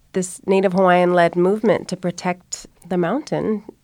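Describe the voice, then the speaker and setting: A woman with an American accent speaks at a medium pitch and a moderate pace in a plain, everyday voice. The recording is very clean, with a silent background. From Oregon. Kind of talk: panel discussion.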